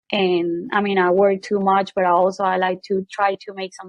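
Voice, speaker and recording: At a moderate pace, a woman with a Venezuelan accent speaks at medium pitch in a monotone, flat way. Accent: Venezuelan Spanish accent, noticeable. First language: Spanish. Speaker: medical equipment business co-owner, sales. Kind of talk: casual chat.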